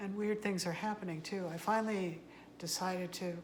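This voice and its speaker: A soft-spoken woman at medium pitch, fairly even in intonation and fairly quick in pace, with audible room echo. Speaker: tarot card reader. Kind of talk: casual monologue to camera. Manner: halting. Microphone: no microphone.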